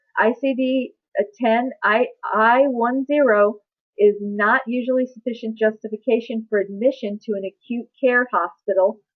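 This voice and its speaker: In a normal speaking voice, a woman talks with ordinary pitch variation. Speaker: medical billing trainer. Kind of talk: webinar presentation. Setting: online webinar.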